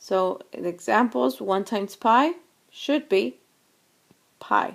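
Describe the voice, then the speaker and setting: A woman talks at a very slow pace with a medium pitch and vocal fry. Her pitch swings very widely. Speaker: math teacher. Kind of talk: lecture.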